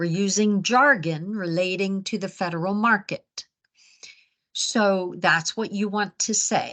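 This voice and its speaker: A woman with an American accent at a fairly slow pace, medium pitch, bright, sharp tone and fairly even intonation. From Baltimore, Maryland, US. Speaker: business coach and webinar presenter. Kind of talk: webinar presentation. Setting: live webinar. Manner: clear enunciation.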